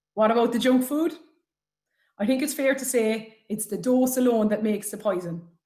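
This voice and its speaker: A woman speaks with an Irish accent. Her tone is dark and mellow, her pitch fairly high. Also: ordinary pitch variation, moderate pace. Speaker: health talk speaker. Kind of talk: presentation. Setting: webinar.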